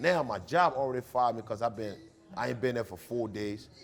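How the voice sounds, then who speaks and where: Music plays in the background. A man with a medium pitch speaks at a moderate pace in an animated tone. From Liberia. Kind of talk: interview.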